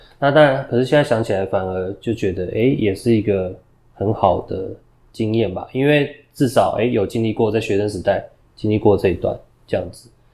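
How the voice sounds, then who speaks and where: This man talks at a moderate pace in a medium-pitched voice with a dark, mellow tone and ordinary pitch variation. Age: 30s. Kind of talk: interview. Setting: studio. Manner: halting.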